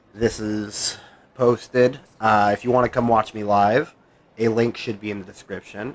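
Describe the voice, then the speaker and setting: This man has a normal speaking voice, fairly low in pitch, with ordinary pitch variation and a moderate pace. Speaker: gaming streamer. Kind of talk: live gameplay stream chat. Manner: casual with many fillers.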